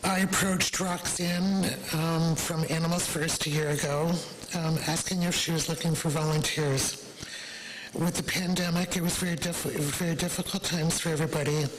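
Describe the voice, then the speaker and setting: Amid noticeable background noise and audible room echo, a woman with a fairly low pitch speaks at a moderate pace in a monotone, flat intonation with very even loudness. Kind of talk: public presentation at council meeting. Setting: council meeting at podium. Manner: soft-spoken.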